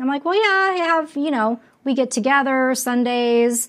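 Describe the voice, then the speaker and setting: A woman's normal speaking voice with an American accent, ordinary pitch variation and a moderate pace. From Las Vegas, Nevada. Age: 50s. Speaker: podcast host. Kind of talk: interview.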